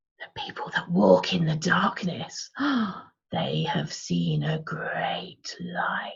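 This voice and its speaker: A raspy, put-on character voice is heard. It moves at a very slow pace. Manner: creepy.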